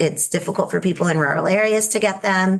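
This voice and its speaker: Her fairly low pitch moves with ordinary variation as the woman speaks. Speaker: state legislator, bill sponsor. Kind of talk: committee testimony. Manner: hesitant, many fillers.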